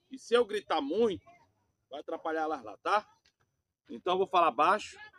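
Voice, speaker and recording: A man's high-pitched voice, at a moderate pace, swings very widely in pitch and greatly in loudness, with a dry, close sound and no echo. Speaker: preacher. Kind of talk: sermon. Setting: outdoors. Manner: soft-spoken.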